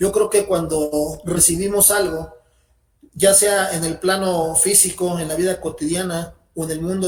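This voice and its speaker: A man's high-pitched voice at a fairly slow pace, with fairly even intonation. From Mexico. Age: 40s. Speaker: channel member, beginner in magic. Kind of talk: interview. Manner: formal.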